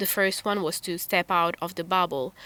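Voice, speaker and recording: Heard on a very clean recording with a silent background, a woman speaks at a fairly low pitch in a bright, sharp tone. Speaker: podcast co-host. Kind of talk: casual podcast conversation.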